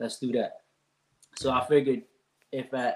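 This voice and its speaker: A man speaks at a fairly high pitch with a Filipino accent. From Philippines, then Allentown, Pennsylvania from age eight. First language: Filipino language. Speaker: youth reading program co-founder. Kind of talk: casual interview.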